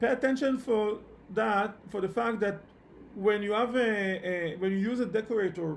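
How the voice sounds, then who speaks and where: This man has a non-native accent and a high pitch, with ordinary pitch variation at a moderate pace. Audible room echo can be heard. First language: not English. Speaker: programming instructor. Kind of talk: online lecture. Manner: halting, many repetitions and fillers.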